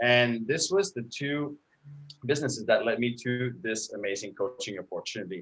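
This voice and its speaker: In a French Canadian accent, a man speaks at a medium pitch. His pitch variation is ordinary. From Quebec. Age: 30s. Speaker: online marketing coach. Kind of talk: interview. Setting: live stream.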